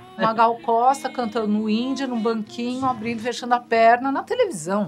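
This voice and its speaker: Over music in the background, a woman talks at a fairly quick pace with a fairly high pitch and ordinary pitch variation. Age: 60s. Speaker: punk musician. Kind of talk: interview.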